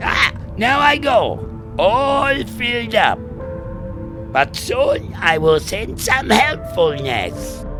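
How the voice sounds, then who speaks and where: Loud music plays in the background. The speaker uses a put-on character voice at a very slow pace. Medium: machinima. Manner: quaint broken grammar.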